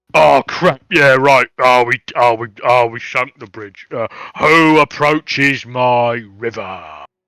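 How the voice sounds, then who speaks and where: A man uses a put-on character voice that is booming and menacing in tone, at medium pitch. He speaks at a fairly slow pace on a very clean recording with a silent background. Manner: booming, menacing.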